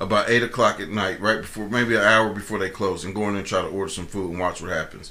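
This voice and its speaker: A man with an American accent talks at a very fast pace, barely pausing, his pitch fairly low and his intonation fairly even. Noticeable background noise runs under his speech. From Columbus, Ohio. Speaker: podcast co-host. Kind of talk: casual chat. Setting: studio.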